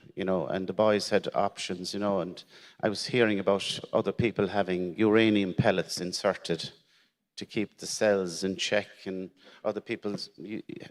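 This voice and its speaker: In an Irish accent, a man speaks at a moderate pace in a fairly low voice. His intonation is monotone and flat. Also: dry, close sound with no echo. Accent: Irish, Gaeltacht. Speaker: teacher sharing cancer story. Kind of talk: personal testimony at conference. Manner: halting, repeats words.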